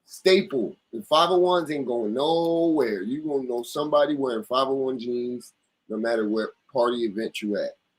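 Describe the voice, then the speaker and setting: A man with an American accent and a normal speaking voice, medium in pitch, lively in intonation, at a moderate pace. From US East Coast. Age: 30s. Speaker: clothing brand owner. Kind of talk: casual chat.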